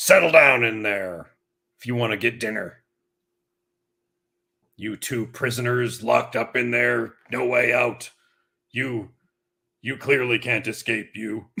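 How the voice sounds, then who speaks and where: A man's put-on character voice, gruff and raspy, medium in pitch, at a fairly slow pace with long, frequent pauses. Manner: stern, commanding.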